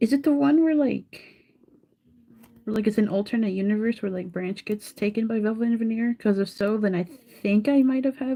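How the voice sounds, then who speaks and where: A woman's fairly high voice carries a dark, mellow tone as she speaks at a fairly quick pace. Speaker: live streamer. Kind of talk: casual chat. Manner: monotone.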